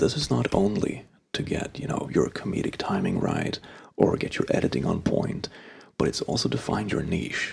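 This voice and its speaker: Soft-spoken, the man keeps to a moderate pace. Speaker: ASMR YouTuber. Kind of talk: casual talk to camera. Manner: soft-spoken, conversational.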